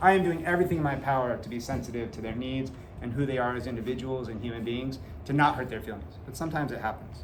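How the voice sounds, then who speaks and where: A man talks at a very fast pace with big swings in loudness, amid noticeable background noise and audible room echo. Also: medium pitch for a man, ordinary pitch variation. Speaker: middle school teacher. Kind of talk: back to school night presentation to parents. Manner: casual, uses many filler uhs.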